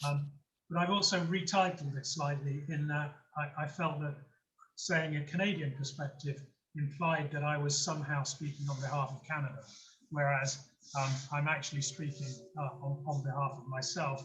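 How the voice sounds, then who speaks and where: Against audible room echo, a man with a British accent talks at a moderate pace, his pitch fairly high and his intonation fairly even. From UK. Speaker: nuclear industry consultant. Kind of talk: lecture. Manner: halting, many fillers and repeats.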